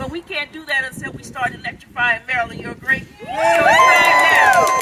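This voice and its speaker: Over crowd noise, a woman projects a raised, high-pitched voice with very wide pitch swings and big jumps in loudness. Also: moderate pace. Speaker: clean energy business founder and activist. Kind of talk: rally speech. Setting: outdoor rally with crowd. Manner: animated.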